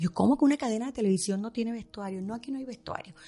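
A woman speaks with a somewhat breathy, fairly high voice. Her intonation is lively. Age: 50s. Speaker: fashion stylist. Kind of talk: interview. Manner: fast.

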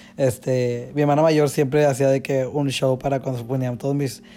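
Music plays in the background as a man speaks at medium pitch. His intonation is fairly even. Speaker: dancer and choreographer. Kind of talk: casual chat.

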